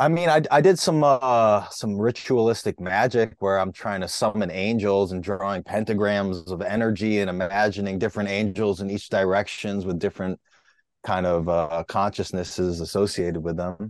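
A man talks in a normal speaking voice at a moderate pace. His pitch is fairly low, with ordinary pitch variation. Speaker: comedian. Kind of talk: casual chat.

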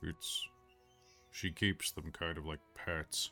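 A man's gruff, very deep, low put-on character voice at a very slow pace, with clear music in the background. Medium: actual play. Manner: blunt, awkwardly earnest.

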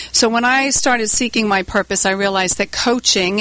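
Very fast speech with ordinary pitch variation. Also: woman. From US Northeast, Warwick, Rhode Island. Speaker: leadership communication trainer and company CEO. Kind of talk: radio interview.

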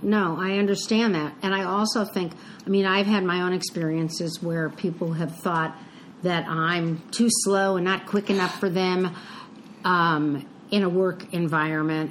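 Speaking at a fairly slow pace, a woman uses a normal speaking voice at medium pitch with fairly even intonation. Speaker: podcast co-host. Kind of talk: casual chat.

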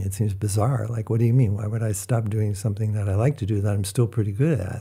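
This man's voice is fairly low, dark and mellow, and somewhat breathy at a fairly quick pace. The recording is very clean with a silent background. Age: 60s. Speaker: architect. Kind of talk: casual interview. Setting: studio.

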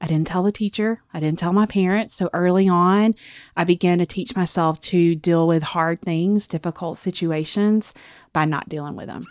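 In a very clean recording with a silent background, a woman with a Southern US accent speaks at a fairly low pitch. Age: 40s. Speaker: author and speaker. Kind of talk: personal testimony in interview.

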